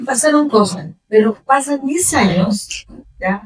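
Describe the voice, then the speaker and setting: A somewhat breathy woman speaks at a fairly slow pace. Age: 60s. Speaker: mature student. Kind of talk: audience testimony at a talk. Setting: hotel event room with audience.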